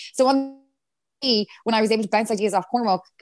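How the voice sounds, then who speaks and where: With a western Irish accent, a woman talks at a medium pitch. Her pitch variation is ordinary. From Ireland, Galway. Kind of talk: casual chat.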